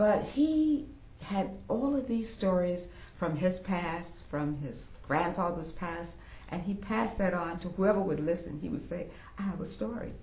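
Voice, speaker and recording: The speaker has an American accent and talks at a fairly slow pace. Noticeable background noise runs under the voice. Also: woman, fairly low pitch for a woman. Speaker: quilter. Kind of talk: interview answer.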